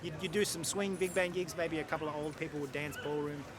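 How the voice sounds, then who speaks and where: Speaking very fast with an Australian accent and ordinary pitch variation, a man is heard amid audible room echo and noticeable background noise. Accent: Australian, obvious. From Australia, Sydney suburbs. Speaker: jazz bandleader and musician. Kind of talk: interview. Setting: outdoors in a park.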